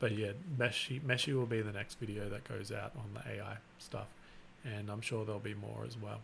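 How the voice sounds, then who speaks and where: A man talks at a fairly quick pace with a fairly low pitch and vocal fry. The room echo is audible. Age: 40s. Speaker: YouTuber, 3D printing and maker channel host. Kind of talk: casual livestream chat. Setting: live stream. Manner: monotone; relaxed, unexcited.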